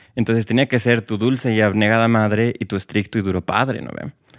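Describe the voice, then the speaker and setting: Recorded very cleanly against a silent background with a dry, close sound and no echo, a man with a normal speaking voice talks at a fairly quick pace and a fairly low pitch. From Bolivia. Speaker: guest, LGBT project co-founder. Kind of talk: casual interview chat.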